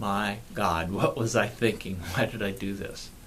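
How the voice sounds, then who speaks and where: A man talks in a plain, everyday voice. He goes at a fairly slow pace with ordinary pitch variation. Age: 60s. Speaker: pain management clinician and author. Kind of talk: personal video talk to camera.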